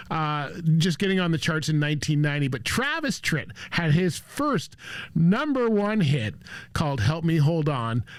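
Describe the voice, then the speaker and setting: A man speaks at a moderate pace with lively intonation. His pitch is fairly high. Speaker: radio show host / DJ. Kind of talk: radio show host aircheck, introducing songs. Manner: upbeat, enthusiastic.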